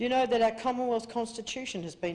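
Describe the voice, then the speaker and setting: A woman with an Australian accent and ordinary pitch variation. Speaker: activist speaker. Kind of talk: public speech. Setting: convention stage with audience. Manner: fast.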